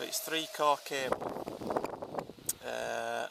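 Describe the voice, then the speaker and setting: Recorded dry with no echo against loud background noise, a man talks with an English accent. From Yorkshire, England; England. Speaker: smallholder showing his wind turbine. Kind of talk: casual video walkthrough. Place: open country. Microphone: phone near.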